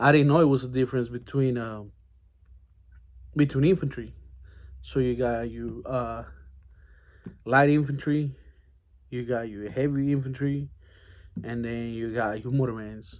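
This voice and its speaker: Speaking with a Mexican accent at a medium pitch, a man keeps a moderate pace and fairly even intonation, with long, frequent pauses. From Mexico. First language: Spanish. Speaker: army veteran. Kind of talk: casual monologue. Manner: hesitant, many fillers.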